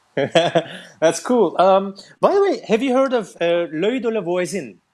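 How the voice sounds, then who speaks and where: This very clean recording has a silent background and a man talking at a very slow pace. His intonation is lively. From Turkey. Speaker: musician. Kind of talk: casual chat.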